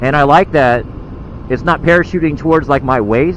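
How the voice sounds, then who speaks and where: Noticeable background noise sits under a man who keeps a moderate pace, his pitch varying in an ordinary way. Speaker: motovlogger. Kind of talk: casual vlog narration while riding. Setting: on a motorcycle, outdoors. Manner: loud.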